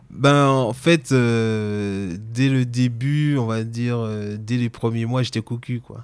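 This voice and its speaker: On a very clean recording with a silent background, a man with a slight Antillean accent speaks very slowly at a medium pitch, with fairly even intonation and hardly any pauses. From French Antilles. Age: 30s. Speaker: interviewee sharing personal story. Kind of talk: personal testimony.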